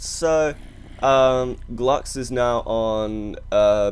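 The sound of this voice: The pitch rises and falls in an ordinary way. An unforced reading voice carries the clip.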